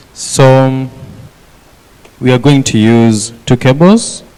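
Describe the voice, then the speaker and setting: A man talks over noticeable background noise. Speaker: workshop instructor. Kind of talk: hands-on tutorial.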